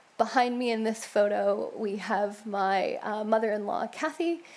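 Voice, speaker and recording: This woman talks with a New York accent at a fairly slow pace. Her pitch sits fairly high. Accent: New York American. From US Northeast (Rochester, Upstate New York). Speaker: church member sharing faith story. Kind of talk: church testimony talk. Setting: church stage with congregation. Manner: casual with frequent fillers.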